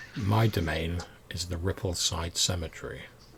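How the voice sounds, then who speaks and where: A man puts on a quiet, raspy character voice, very deep and low, speaking at a moderate pace with fairly even intonation over clear background noise. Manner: quiet, ominous.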